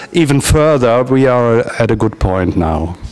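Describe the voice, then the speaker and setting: The speaker talks with a German accent. Noticeable background noise can be heard behind the voice. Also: man. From Germany. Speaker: transactional analysis practitioner. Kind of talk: interview. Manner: halting, many hesitations.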